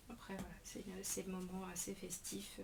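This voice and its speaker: Over noticeable background noise and audible room echo, a woman speaks at a fairly slow pace and a medium pitch. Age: 40s. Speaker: scrapbooking demonstrator. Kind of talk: craft tutorial. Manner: hesitant, many fillers.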